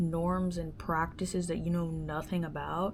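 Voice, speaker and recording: Audible room echo surrounds a woman who talks at a fairly slow pace with a fairly low pitch. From US, moved from Dominican Republic at age five or six. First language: Spanish. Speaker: podcast host. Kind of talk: casual solo monologue. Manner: casual, many filler words.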